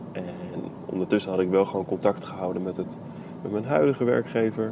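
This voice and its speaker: A man's fairly low voice at a very fast pace over noticeable background noise. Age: 20s. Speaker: podcaster. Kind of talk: solo monologue. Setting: in a car. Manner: monotone; hesitant.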